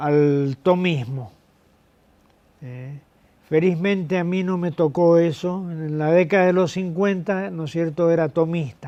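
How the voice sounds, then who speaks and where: Speaking at a fairly slow pace, a man with a high pitch has a dark, mellow tone and fairly even intonation. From Argentina, Mendoza. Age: 70s. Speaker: retired professor. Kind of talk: interview. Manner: halting, many fillers.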